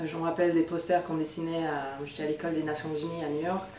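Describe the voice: With audible room echo, a woman speaks at a low pitch in a slightly mellow tone.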